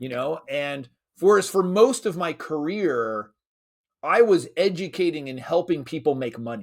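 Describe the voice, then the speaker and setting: On a very clean recording with a silent background, a man with a high pitch speaks at a fairly slow pace in an energetic tone with very wide pitch swings. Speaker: creator of an online school for dads, internet marketer. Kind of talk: interview conversation.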